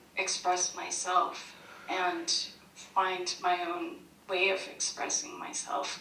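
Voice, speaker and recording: A woman speaks very slowly in a medium-pitched voice. Audible room echo and noticeable background noise surround her. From Vietnam, raised in US. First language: Vietnamese and Cantonese. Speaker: poet. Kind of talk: panel discussion. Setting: video call.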